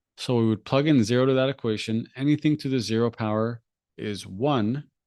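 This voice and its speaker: Over a quiet background, a man with a medium pitch talks with ordinary pitch variation in a dry, close sound with no echo. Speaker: SAT tutor. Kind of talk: live stream tutorial. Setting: live stream with screen share. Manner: fast.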